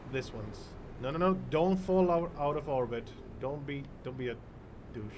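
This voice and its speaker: At a moderate pace, a man speaks with a fairly high pitch and ordinary pitch variation amid audible room echo. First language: Spanish. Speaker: streamer. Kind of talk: live gameplay commentary. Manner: halting.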